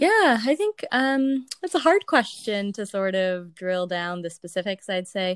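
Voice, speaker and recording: Recorded dry and close with no echo, a woman speaks at a medium pitch and a fairly slow pace. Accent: American. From San Jose, California. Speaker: medical professional, university graduate. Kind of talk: interview.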